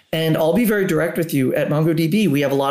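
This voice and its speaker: A man's fairly high-pitched voice with vocal fry at a fairly quick pace. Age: 50s. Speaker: tech company executive. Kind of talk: interview.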